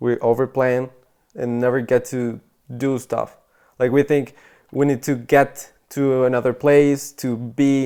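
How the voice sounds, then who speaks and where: With a Spanish accent, a man talks slowly in a medium-pitched voice with a dark, mellow tone. His intonation is monotone and flat, and he leaves long, frequent pauses. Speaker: podcast host. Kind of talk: casual podcast chat. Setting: at a boarding school in England.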